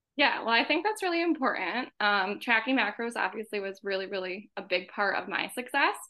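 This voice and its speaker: Speaking at a fairly quick pace with hardly any pauses, a woman with an American accent has a fairly high pitch and an unremarkable speaking voice. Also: lively intonation. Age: 20s. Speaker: occupational therapist, former coaching client. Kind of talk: casual interview chat.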